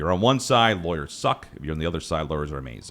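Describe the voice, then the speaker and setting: Here a man speaks with vocal fry. His pitch is very deep and low. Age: 40s. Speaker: podcast host. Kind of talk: podcast interview.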